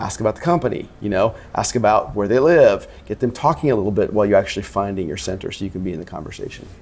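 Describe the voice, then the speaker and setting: Here a man speaks at a very fast pace with a fairly low pitch. His intonation is lively. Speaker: sales executive. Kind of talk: interview. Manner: fast-talking.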